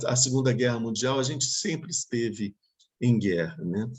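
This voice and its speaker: Fairly slow speech from a man at a medium pitch with ordinary pitch variation. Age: 60s. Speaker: Buddhist teacher. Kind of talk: dharma talk Q&A. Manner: halting.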